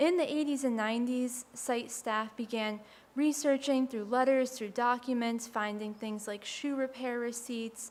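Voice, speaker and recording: Soft-spoken, a woman talks in a fairly high pitch at a moderate pace. Her intonation is fairly even. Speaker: historic site educator. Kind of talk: panel presentation.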